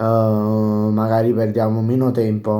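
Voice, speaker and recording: This man's voice sits at a medium pitch with a dark, mellow tone. Audible room echo surrounds it. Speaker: football YouTuber. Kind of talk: casual post-match commentary. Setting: home at night, others sleeping. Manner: speaking quietly, softer than usual; halting, many fillers.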